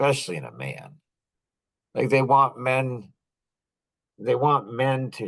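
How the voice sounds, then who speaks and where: A man at medium pitch. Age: 60s. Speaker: podcast host. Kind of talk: monologue podcast. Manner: animated.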